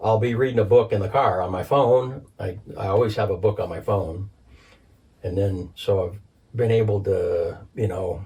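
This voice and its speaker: A man with a fairly low pitch and a dark, mellow tone sounds somewhat breathy as he talks at a moderate pace with ordinary pitch variation. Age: 60s. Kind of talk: casual chat. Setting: home recording.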